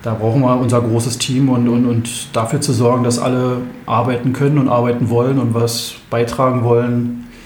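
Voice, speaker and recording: Over noticeable background noise and audible room echo, a man speaks at a moderate pace in a medium pitch, monotone and flat, with very even loudness. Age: 30s. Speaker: basketball club chairman. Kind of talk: interview.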